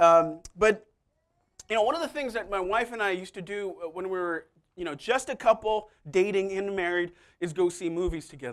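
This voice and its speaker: Loud and animated in tone, a man with high pitch talks at a fairly quick pace with ordinary pitch variation. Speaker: pastor. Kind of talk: sermon.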